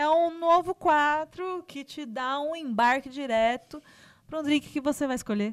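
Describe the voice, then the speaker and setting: A woman's high voice comes through a very clean recording with a silent background, moving fairly slowly with big swings in loudness. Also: ordinary pitch variation. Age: 30s. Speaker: podcast host. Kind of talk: casual chat. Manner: animated.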